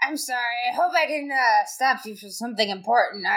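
In a put-on character voice, a female-sounding speaker talks at a fairly quick pace and a high pitch. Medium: actual play. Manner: fussy, old-fashioned, slyly creepy.

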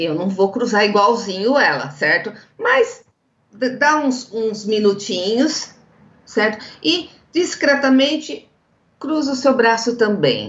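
A high-pitched woman at a very slow pace, with lively intonation and long, frequent pauses. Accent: São Paulo countryside. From interior of São Paulo state, Brazil. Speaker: legal executive and negotiation lecturer. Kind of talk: interview, explanatory.

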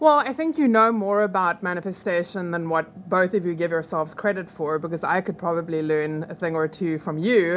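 A woman with a non-native accent speaks at a fairly low pitch with ordinary pitch variation, over noticeable background noise. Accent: noticeable foreign. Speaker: hypnotherapist. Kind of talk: casual interview. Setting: studio.

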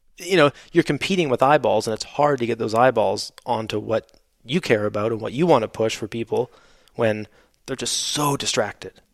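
In a Canadian accent, a man with a normal speaking voice talks at a moderate pace and medium pitch with ordinary pitch variation, the sound dry and close with no echo. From Canada. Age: 30s. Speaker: former motocross racer and product designer. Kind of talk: casual interview chat.

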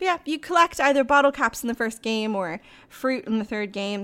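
Her pitch fairly high and her intonation lively, a woman speaks at a very fast pace. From Ireland. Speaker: podcast guest, gamer. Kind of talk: casual chat.

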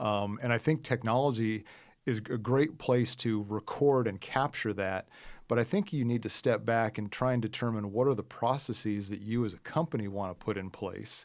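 A man with an American accent speaks at a medium pitch and a moderate pace, with ordinary pitch variation, in a very clean recording with a silent background. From US Midwest. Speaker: software executive. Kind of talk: podcast interview. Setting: studio.

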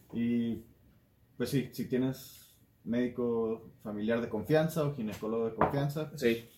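Dark and mellow in tone, a man's voice sits at a medium pitch. He talks at a fairly slow pace with fairly even intonation. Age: 30s. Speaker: podcast co-host. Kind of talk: casual chat.

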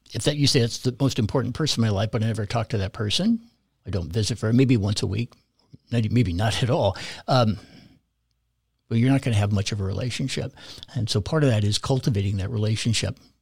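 With an American accent and a somewhat breathy voice, the speaker talks at a very fast pace broken by long, frequent pauses, with ordinary pitch variation, on a very clean recording with a silent background. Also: man, medium pitch for a man. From California. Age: 60s. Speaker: parish volunteer and catechetics director. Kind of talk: casual interview conversation.

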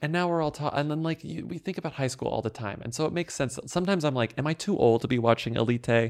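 A man's fairly high voice with an American accent, very fast and with hardly any pauses. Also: ordinary pitch variation. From Texas. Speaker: podcast host. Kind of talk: casual chat.

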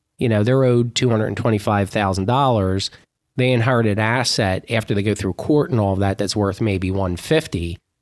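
Very clean recording with a silent background of a man with a normal speaking voice, fairly low pitch, ordinary pitch variation and a fairly quick pace. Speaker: financial advisor. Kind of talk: casual chat.

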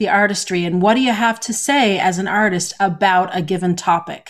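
Fairly quick talk from a woman in a normal speaking voice, pitched in the medium range with ordinary pitch variation. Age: 50s. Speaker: podcast co-host and story editor. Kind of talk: casual chat.

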